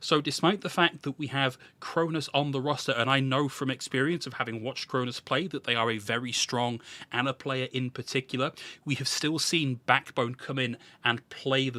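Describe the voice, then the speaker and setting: A man with a British accent talks at a moderate pace and medium pitch, with fairly even intonation and a bright, sharp tone. The recording is very clean and dry, close with no echo, over a silent background. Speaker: esports podcast host. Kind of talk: casual esports recap discussion.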